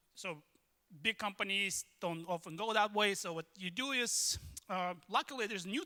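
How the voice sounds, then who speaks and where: With a non-native accent, a man talks at a fairly quick pace in a raised, projected voice that is high-pitched, bright and sharp in tone, with ordinary pitch variation and a dry, close sound free of echo. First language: not English. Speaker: tech consultant, conference speaker. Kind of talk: lightning talk. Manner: hesitant, many fillers.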